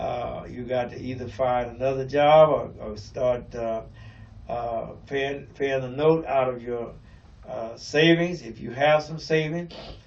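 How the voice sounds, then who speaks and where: The man's medium-pitched voice comes with audible room echo and a fairly slow pace. His intonation stays fairly even while his loudness swings widely. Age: 70s. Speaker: pastor. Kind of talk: radio talk show monologue. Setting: radio broadcast. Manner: hesitant, many fillers.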